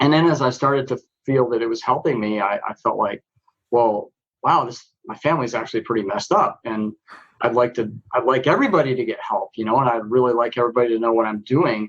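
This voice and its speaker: This man talks at a very fast pace. His voice sits at a medium pitch with ordinary pitch variation. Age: 60s. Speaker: writer and poet on men's issues. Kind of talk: podcast interview. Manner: halting, many fillers.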